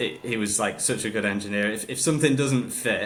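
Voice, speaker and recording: A man speaks at a moderate pace with a Hull accent and ordinary pitch variation, with audible echo in the room. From northern England, Hull. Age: 30s. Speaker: motorcycle racer. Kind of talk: casual chat.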